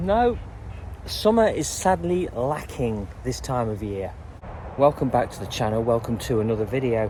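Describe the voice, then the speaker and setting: This man talks with an English accent at a medium pitch. His intonation is lively and his pace is moderate. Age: 60s. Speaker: canal boat vlogger. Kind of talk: casual vlog. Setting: outdoors on canal towpath. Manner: hesitant, many fillers.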